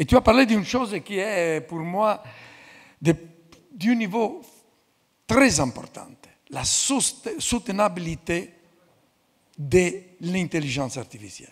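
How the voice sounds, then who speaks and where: A man speaks at a very slow pace in a high pitch, his voice swinging very widely in pitch. He leaves long, frequent pauses. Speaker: institute president. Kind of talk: closing speech.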